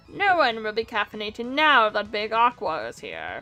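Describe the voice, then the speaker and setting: Cackling in a put-on character voice, a woman with fairly high pitch speaks at a moderate pace over faint background music. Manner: cackling, gloating.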